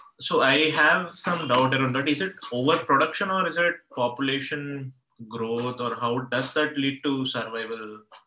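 At a moderate pace, a man talks with a fairly high pitch and ordinary pitch variation, with light background noise and audible room echo. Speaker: student. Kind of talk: classroom discussion. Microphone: video call.

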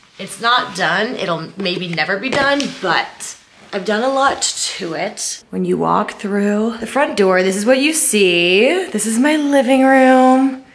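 Over light background noise, a woman with a fairly high pitch speaks at a very slow pace using lively intonation. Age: 20s. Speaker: lifestyle YouTuber. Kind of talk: casual vlog talk to camera. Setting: bedroom at home. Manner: animated.

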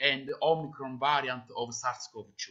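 A man with an Italian accent speaks in a bright, sharp tone against a quiet background. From Italy. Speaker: pathologist; conference presenter. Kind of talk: Q&A after a presentation. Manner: halting, many fillers. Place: home room. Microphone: webcam.

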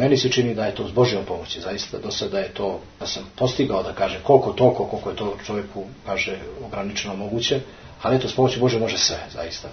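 Noticeable background noise and audible room echo surround a man with a Montenegrin accent. He speaks at a very fast pace at medium pitch, with ordinary pitch variation. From Montenegro, Podgorica. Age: 40s. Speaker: Orthodox parish priest. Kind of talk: interview. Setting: monastery.

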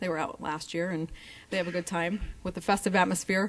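Words rush out very fast, with intonation that stays fairly level. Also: woman. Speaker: council presenter. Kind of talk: presentation to council. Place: hall.

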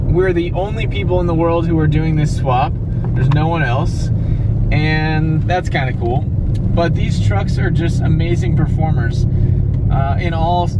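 A man at a fairly slow pace, dry sound with no echo, amid loud background noise. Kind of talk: casual vlog chat. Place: car. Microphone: phone near.

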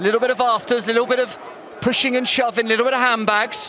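A raised, projected voice talks at a fairly quick pace, the sound dry with no echo and noticeable background noise behind it. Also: man. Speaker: match commentator. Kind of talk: live football commentary. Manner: brisk, fluent play-by-play delivery, clipped with rising energy at chances. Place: stadium.

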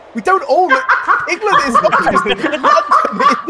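Loud background noise fills the recording. A man talks through it. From England, outside London. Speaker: gaming stream participant. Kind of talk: casual, profane. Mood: joking, amused. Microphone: headset.

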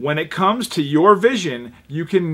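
With an unremarkable speaking voice, a man talks at a moderate pace in a fairly high pitch with lively intonation. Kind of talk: TV commercial read.

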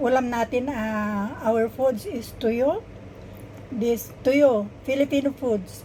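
A woman speaks at a high pitch and a very slow pace. Her pitch varies in an ordinary way over noticeable background noise. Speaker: vlogger. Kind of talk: casual vlog. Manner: halting.

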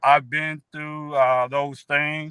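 In a relaxed tone, a man speaks at a fairly high pitch over a quiet background, the sound dry with no echo. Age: 60s. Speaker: newly found relative of the guest; guest. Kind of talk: interview testimony. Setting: video call. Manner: relaxed, repetitive with fillers. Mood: warm, heartfelt. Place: car. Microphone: video call.

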